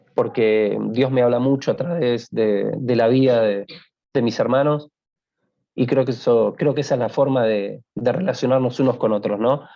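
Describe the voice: A man talks at a moderate pace and a medium pitch. His tone is dark and mellow, with ordinary pitch variation.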